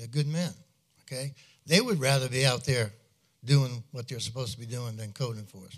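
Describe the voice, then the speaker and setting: A man with a medium pitch and a somewhat breathy voice talks at a fairly quick pace with ordinary pitch variation. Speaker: retired police officer. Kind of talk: public comment. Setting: council meeting.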